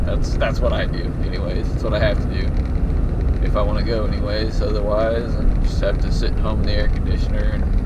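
There is loud background noise. Over it, a man talks at a fairly quick pace. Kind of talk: casual vlog chat. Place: car. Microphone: camera far.

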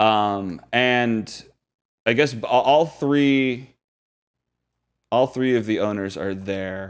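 On a very clean recording with a silent background, a man speaks slowly in a fairly low, clear, smooth voice with ordinary pitch variation.

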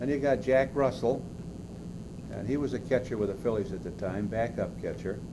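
Loud background noise under a man's fairly quick delivery. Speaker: interviewee. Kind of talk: interview answer. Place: meeting room. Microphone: old recording.

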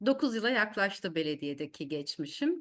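Over a quiet background, a woman with a medium pitch and a bright, sharp tone makes very wide pitch swings. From Turkey, Eskişehir. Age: 50s. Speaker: mayor. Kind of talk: speech. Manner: hesitant fillers.

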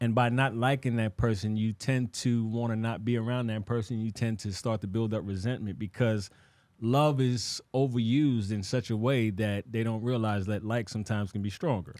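Against a quiet background, a man speaks at a moderate pace with hardly any pauses, the sound dry with no echo. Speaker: podcast co-host. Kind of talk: casual chat. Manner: animated. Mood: reflective, earnest. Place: studio. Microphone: studio mic.

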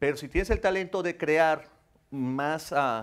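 A man talks fairly slowly, his intonation lively. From Mexico City. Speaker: actor. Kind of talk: talk show interview. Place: studio.

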